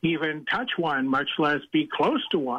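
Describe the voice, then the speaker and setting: A man's fairly high-pitched, unremarkable speaking voice moves at a moderate pace. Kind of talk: storytelling interview.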